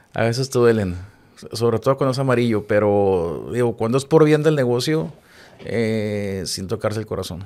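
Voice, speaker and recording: An ordinary speaking voice from a man, medium in pitch with ordinary pitch variation, at a moderate pace in a very clean recording with a silent background. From Mexico, Chihuahua. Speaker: television production director. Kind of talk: casual interview chat.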